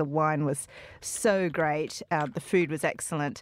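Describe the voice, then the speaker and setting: A woman with an Australian accent talks at a moderate pace and fairly low pitch with ordinary variation, in a very clean, dry, close recording with a silent background and no echo. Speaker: journalist. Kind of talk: radio panel discussion.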